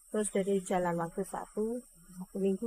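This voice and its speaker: Here a woman speaks at a moderate pace with ordinary pitch variation. The sound is dry and close, with no echo. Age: 40s. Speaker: food stall owner. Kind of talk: interview. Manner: halting.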